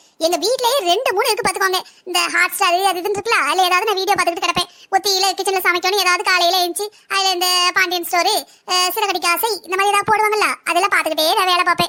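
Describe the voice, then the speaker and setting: A woman uses a cartoonish character voice at an extremely high pitch and a very fast pace. Her intonation stays fairly even, and her loudness is very even. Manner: fast, chatty.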